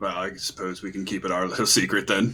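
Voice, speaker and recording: A man's raspy, put-on character voice, very deep and low in pitch, at a very fast pace. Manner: conspiratorial, sly.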